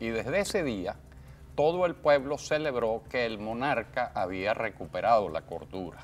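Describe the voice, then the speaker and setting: Over music in the background, a man talks at a fairly slow pace with very wide pitch swings. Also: medium pitch for a man. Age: 60s. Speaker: journalist. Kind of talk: interview.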